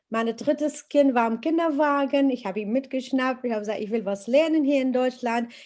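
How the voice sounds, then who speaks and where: With a non-native accent, a woman speaks at a high pitch with ordinary pitch variation against a quiet background. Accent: foreign accent in German. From Iraq. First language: Arabic (speaking German). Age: 50s. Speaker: teaching assistant and interpreter. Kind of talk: interview testimony. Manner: halting, many hesitations.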